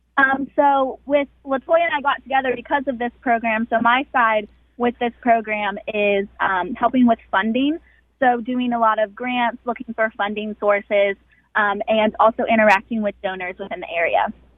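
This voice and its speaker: A woman with an American accent and an unremarkable speaking voice speaks at a moderate pace with ordinary pitch variation. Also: fairly high pitch for a woman. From West Virginia. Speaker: hospital foundation fundraiser. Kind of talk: radio interview.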